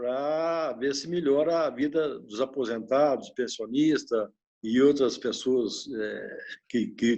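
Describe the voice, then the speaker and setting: A man's fairly high-pitched voice at a fairly slow pace with ordinary pitch variation, over a quiet background. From Minas Gerais, Brazil. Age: 60s. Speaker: retiree. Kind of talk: interview. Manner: halting.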